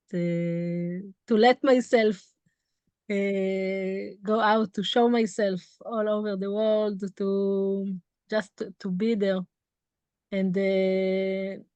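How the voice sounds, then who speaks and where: A woman speaks at a very slow pace in a medium pitch, her intonation monotone and flat, with long, frequent pauses against a quiet background. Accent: Israeli. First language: Hebrew. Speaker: tour guide. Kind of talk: interview. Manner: halting.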